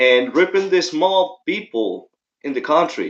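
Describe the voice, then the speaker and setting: A man with a strong Mexican accent, fairly slow in pace, with very wide pitch swings. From Mexico. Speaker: political commentator. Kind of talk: livestream commentary. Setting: livestream. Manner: casual, halting.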